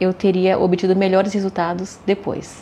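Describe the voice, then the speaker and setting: A woman's somewhat breathy voice, dark and mellow in tone, sits at a medium pitch and moves at a moderate pace. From Brazil, São Paulo (Santo Amaro). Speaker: accountant and interpreter. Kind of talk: interview.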